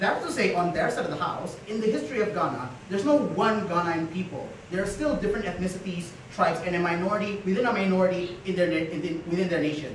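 A man speaks at a very fast pace in a high pitch with ordinary pitch variation. Audible room echo and light background noise are present. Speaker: debater. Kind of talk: competitive debate speech. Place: classroom. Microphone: camera far.

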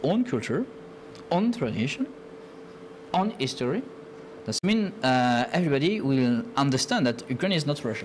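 A man speaks with a French accent at a moderate pace, his pitch swinging very widely. Light background noise sits behind him. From France. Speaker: TV talk show co-host. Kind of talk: talk show hosting. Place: studio. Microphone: lapel.

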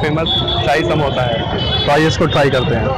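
A man speaks with ordinary pitch variation in a dry sound with no echo. Loud background noise is present. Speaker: food vlogger. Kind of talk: casual vlog chat. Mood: cheerful, joking. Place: market. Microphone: lapel.

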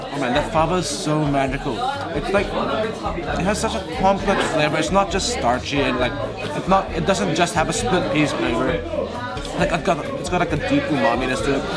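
A man talks at a moderate speed while a crowd murmurs in the background. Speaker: food vlogger. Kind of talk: casual food review vlog.

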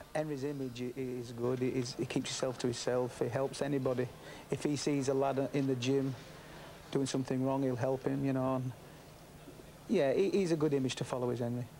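Over light background noise, a man speaks in a monotone, flat intonation at a moderate pace. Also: medium pitch for a man. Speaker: boxing trainer or manager. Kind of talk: interview clip. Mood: warm, relaxed. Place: home room.

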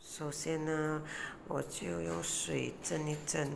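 A woman speaks with a very deep, low voice over light background noise. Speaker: home cook vlogger. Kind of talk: casual vlog chat. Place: kitchen. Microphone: phone near.

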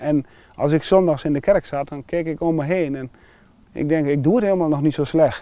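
Here a man speaks fairly quickly at a fairly high pitch, his tone dark and mellow with ordinary pitch variation. The sound is dry, with no echo. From Netherlands, Wapenveld/Wezep area (Gelderland); Gelderland, Netherlands. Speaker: churchgoer sharing faith story; interviewee. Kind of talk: testimony. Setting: outdoors. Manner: halting. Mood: earnest, personal, emotional story. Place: open country.

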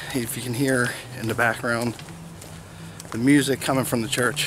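A man speaks at a moderate pace in a monotone, flat intonation. Light background noise is present, and the sound is dry with no echo. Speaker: vlogger. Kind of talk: casual vlog chat. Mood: calm, reflective. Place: street. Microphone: phone near.

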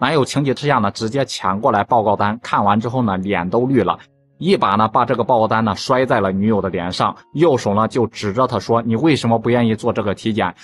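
A man talks at a fairly quick pace with hardly any pauses and ordinary pitch variation. Faint music plays in the background. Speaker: vlogger retelling a story. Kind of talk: storytelling commentary. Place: street. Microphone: phone near.

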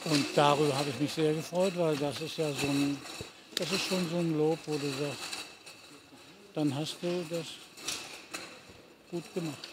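Loud background noise surrounds a man with a fairly high pitch, speaking fairly slowly with long, frequent pauses. His intonation is monotone and flat, and the sound is dry with no echo. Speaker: voice actor, dubbing and audio drama narrator. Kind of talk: interview answer. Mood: reflective, warm. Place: stadium.

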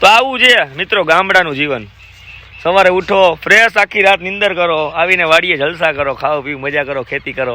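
The tone is bright and sharp, and the intonation is lively. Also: man, high pitch for a man. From Gujarat, India (Jamnagar area). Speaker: vlogger. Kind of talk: casual vlog narration. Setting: outdoors, village farm.

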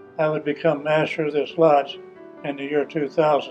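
A man's fairly high voice at a moderate pace, with faint music in the background. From Indiana, USA. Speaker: Freemason, past master of a lodge. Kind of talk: interview answer. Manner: candid, reflective. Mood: proud, reflective. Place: hall.

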